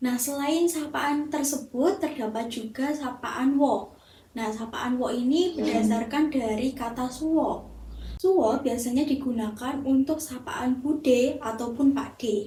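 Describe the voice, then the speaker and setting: A high-pitched woman with a Central Javanese accent, at a fairly slow pace with ordinary pitch variation, amid noticeable background noise and audible room echo. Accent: Javanese Temanggung dialect. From Central Java, Indonesia (Temanggung). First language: Javanese (speaking Indonesian). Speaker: university student. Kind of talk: class assignment presentation.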